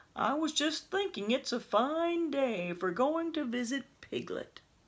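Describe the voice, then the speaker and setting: A woman's high, put-on character voice at a fairly slow pace. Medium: read story.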